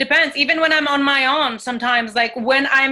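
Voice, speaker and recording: Speaking in a high pitch, a woman talks with a French accent. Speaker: actress and singer. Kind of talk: coaching session on video call. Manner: halting.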